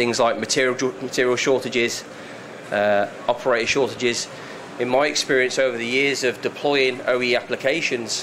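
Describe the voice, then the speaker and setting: A slight British accent at a moderate pace, with fairly even intonation over noticeable background noise. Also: man, medium pitch for a man. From UK. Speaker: software consultant presenter. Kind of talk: presentation to live audience. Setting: room with audience.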